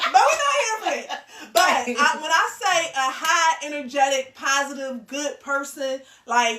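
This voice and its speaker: Raising and projecting her high voice, a woman speaks at a fairly slow pace with lively intonation. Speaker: podcast host. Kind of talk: casual chat. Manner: loud.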